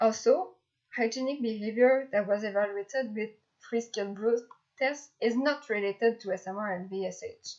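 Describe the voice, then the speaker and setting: Speaking at a moderate pace with a slight French accent, a woman uses a fairly high pitch and ordinary pitch variation. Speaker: graduate student researcher. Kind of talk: lecture. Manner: halting, with fillers.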